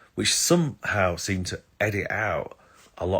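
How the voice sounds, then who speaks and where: Here a man speaks with an English accent. The recording is very clean, with a silent background. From England. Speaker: astrologer. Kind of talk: live stream talk. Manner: hesitant, many fillers.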